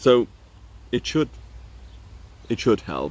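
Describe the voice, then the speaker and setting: With a non-native accent, a man speaks with vocal fry. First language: not English. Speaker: vlogger. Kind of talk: casual vlog talk. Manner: halting, many fillers and repeats.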